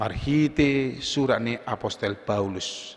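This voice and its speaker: Moving at a very slow pace, a man speaks with ordinary pitch variation. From North Sumatra, Indonesia (Batak). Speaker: pastor. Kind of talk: sermon. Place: church.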